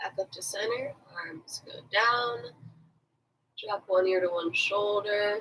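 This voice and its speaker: Calm yet bright and sharp in tone, a woman speaks at medium pitch and a very slow pace, with fairly even intonation, big swings in loudness and long, frequent pauses. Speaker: fitness instructor. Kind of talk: guided stretching class. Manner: calm, instructive.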